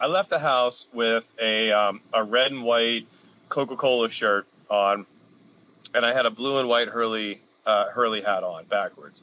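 With an American accent, a normal speaking voice moves at a fairly slow pace with fairly even intonation. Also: man, medium pitch for a man. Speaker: podcast co-host. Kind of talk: casual banter. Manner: rambling, filler-heavy.

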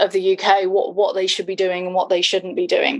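A woman at medium pitch with a southern English accent. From England. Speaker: content design agency founder. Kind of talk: casual interview. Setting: at home, remote call.

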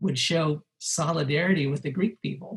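A man with a Californian accent, at a moderate pace, with ordinary pitch variation. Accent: Californian American. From Los Angeles, US. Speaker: musician. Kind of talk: interview.

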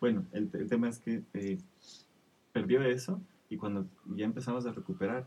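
A man's dark, mellow voice at medium pitch, with very wide pitch swings and a moderate pace. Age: 30s. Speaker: father. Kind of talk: casual chat.

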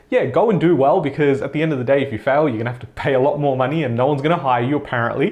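This man's pitch sits fairly high. His pitch varies an ordinary amount. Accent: Australian. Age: 20s. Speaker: personal finance YouTuber. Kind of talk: vlog-style monologue to camera.

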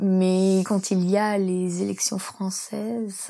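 This woman's voice has a dark, mellow tone at a medium pitch. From France, rural Isère. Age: 30s. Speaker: accountant and expatriate. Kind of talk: interview testimony. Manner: hesitant.

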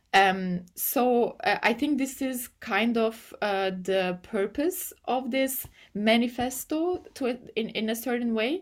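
At a very slow pace with hardly any pauses, a woman with a Turkish accent speaks in a fairly high pitch with lively intonation. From Turkey. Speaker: AI policy and ethics researcher. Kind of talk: interview. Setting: remote call. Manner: halting, many fillers.

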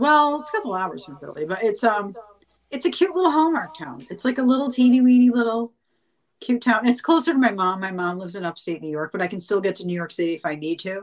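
A woman with a fairly high voice speaks at a very fast pace. Her pitch swings very widely and her loudness shifts a great deal. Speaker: singer and actress. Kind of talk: casual interview chat. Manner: casual, chatty.

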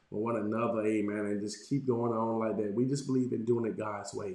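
Audible room echo surrounds a man speaking at a moderate pace, his medium-pitched voice monotone and flat. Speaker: pastor. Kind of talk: sermon. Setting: livestream with chat.

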